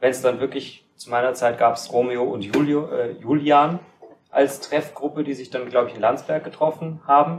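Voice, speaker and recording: A man's plain, everyday voice, fairly high in pitch, at a moderate pace, with fairly even intonation and big swings in loudness. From Kaufbeuren, Bavarian Swabia. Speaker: podcast host. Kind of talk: casual chat. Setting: studio.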